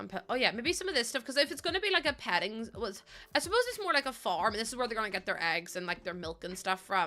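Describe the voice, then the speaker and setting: A woman's fairly high, bright and sharp voice, animated and very fast, with very wide pitch swings. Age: 20s. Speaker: live streamer. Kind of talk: casual live-stream chat while gaming.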